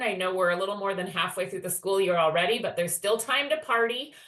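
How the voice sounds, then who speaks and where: A woman's voice over noticeable background noise. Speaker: education department staff presenter. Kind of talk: webinar presentation.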